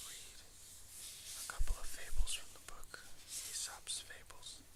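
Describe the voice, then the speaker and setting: Whispering against noticeable background noise. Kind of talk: casual talk to camera. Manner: whispered.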